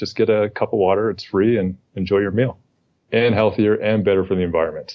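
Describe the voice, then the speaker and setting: A normal speaking voice from a man with a Canadian accent. His pitch is fairly low and his pace fairly quick. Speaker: Olympic rower and author. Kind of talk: podcast interview.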